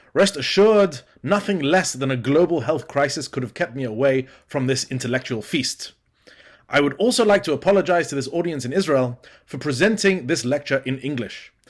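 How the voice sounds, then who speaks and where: With a British accent, a man talks at a fairly quick pace, his fairly high pitch carrying lively intonation. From Britain. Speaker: academic lecturer, student. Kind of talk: conference lecture. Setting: remote pre-recorded presentation. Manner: formal.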